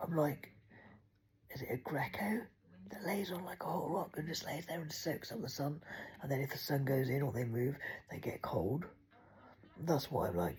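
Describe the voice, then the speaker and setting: Speech with an English accent moves at a moderate pace. Long pauses come often. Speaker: vlogger. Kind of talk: casual chat. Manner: rambling, hesitant with many ums.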